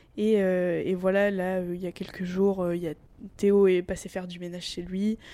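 The tone is dark and mellow, with monotone, flat intonation. The pace is fairly slow. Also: woman, medium pitch for a woman. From Normandy, France. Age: 20s. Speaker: family caregiver and student athlete. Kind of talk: interview. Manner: halting, repeats words.

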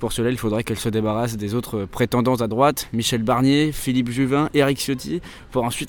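At a fairly quick pace, a man with a medium pitch talks in a normal speaking voice with fairly even intonation. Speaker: podcast host and political journalist. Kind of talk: on-location reporting. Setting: outdoors at a political rally.

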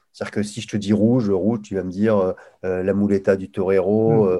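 A man's fairly low voice with a dark, mellow tone. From northern France, Lille. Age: 50s. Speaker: sales coach. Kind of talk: casual interview chat.

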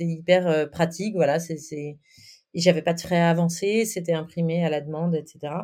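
A woman's dark, mellow tone carries her speech at a moderate pace. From France, Nantes. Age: 40s. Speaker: writer and podcaster. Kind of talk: interview.

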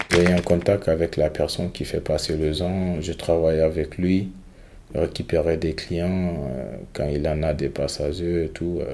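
Slowish and monotone, a man speaks in a very deep, low voice with a dark, mellow tone and flat intonation. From Guinea. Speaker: migrant. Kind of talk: testimony. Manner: halting.

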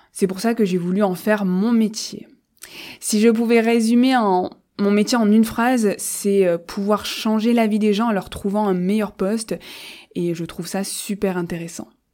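Her dark, mellow tone sits at a medium pitch, and the woman moves at a fairly slow pace with fairly even intonation. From France, Marseille. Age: 20s. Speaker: podcast host and recruiter. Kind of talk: solo podcast monologue.

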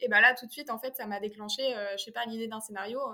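Bright and sharp in tone, a woman talks at a fairly quick pace with a fairly high pitch. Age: 20s. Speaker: filmmaker and actress. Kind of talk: interview. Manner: halting.

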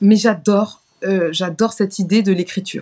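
Her dark, mellow voice moves at a fairly slow pace, and the woman keeps her intonation fairly even. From France, Paris. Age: 30s. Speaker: singer. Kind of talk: interview.

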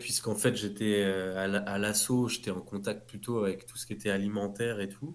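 Speaking with hardly any pauses, a man with an ordinary speaking voice and a fairly low pitch keeps a moderate pace and fairly even intonation while his loudness swings widely. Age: 30s. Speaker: clothing brand founder. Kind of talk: interview.

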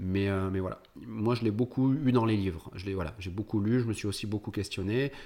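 A man with a dark, mellow tone speaks at a fairly low pitch and a fairly quick pace, his intonation fairly even, on a very clean recording with a silent background. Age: 30s. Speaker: entrepreneur, tax optimisation expert, former physiotherapist. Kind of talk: casual interview.

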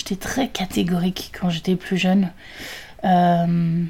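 A fairly low-pitched woman's voice, somewhat breathy with a dark, mellow tone, at a fairly slow pace. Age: 30s. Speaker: podcaster. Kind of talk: solo monologue. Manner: halting.

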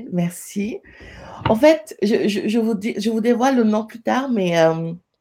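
In a very clean recording with a silent background, a woman speaks at medium pitch with lively intonation, a dark, mellow tone and a somewhat breathy quality. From Senegal. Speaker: entrepreneur. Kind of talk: interview conversation.

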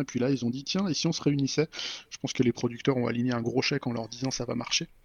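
A man talks very fast. His pitch sits in the medium range. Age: 40s. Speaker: software developer and podcaster. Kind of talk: casual chat. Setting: evening recording.

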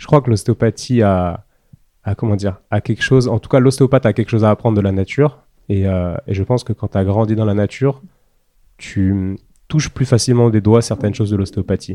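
A man's fairly low voice with a dark, mellow tone, ordinary pitch variation and a fairly quick pace. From rural France. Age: 30s. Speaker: osteopath. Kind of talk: interview. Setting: osteopathy practice room.

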